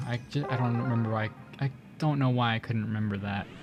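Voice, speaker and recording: Quietly, a man talks at a fairly quick pace. His pitch is medium with ordinary variation. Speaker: gaming YouTuber. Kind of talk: gameplay commentary. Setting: home recording late at night.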